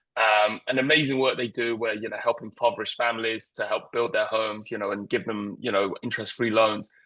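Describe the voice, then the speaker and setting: A man speaks in a British accent with a bright, sharp tone. His intonation is monotone and flat, with hardly any pauses. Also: medium pitch for a man. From England. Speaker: creative director. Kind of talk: interview. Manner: halting, many fillers.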